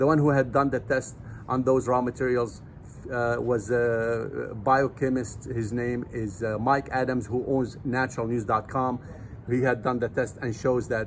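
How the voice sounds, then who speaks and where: Flat and monotone, a man speaks at a fairly slow pace with a medium pitch. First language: not English. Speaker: nutrition supplement seller and vlogger. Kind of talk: casual vlog talk to camera. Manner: halting with fillers.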